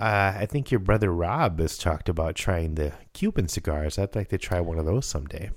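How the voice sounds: With lively intonation, a man speaks at a moderate pace in a low pitch.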